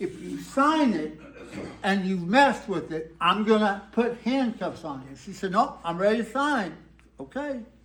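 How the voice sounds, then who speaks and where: A man with an American accent at a fairly slow pace, high in pitch. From Texas. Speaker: storyteller. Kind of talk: live storytelling performance. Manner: laid-back, whimsical.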